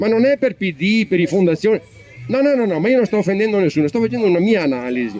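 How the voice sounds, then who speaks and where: With music in the background, a man talks at a very fast pace in a high pitch, his very wide pitch swings paired with very even loudness. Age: 60s. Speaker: audience member. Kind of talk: public comment at political debate. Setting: public event with audience. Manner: emphatic; halting.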